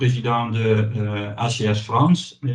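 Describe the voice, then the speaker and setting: A somewhat breathy man with a Dutch accent at a very slow pace, with ordinary pitch variation. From Netherlands. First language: Dutch (speaking French). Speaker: company president. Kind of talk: webinar presentation. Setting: online webinar. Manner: halting, hesitant.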